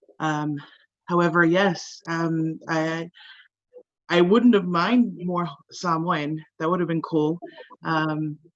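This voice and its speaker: In a Hawaii accent, a woman speaks at a very slow pace with a fairly low pitch and fairly even intonation. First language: Hawaiian. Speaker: actor. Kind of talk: panel discussion. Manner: halting.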